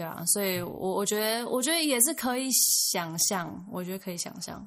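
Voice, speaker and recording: Her intonation is lively as this woman speaks. Noticeable background noise and audible room echo come through. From Taiwan. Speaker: former international school student. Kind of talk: casual chat.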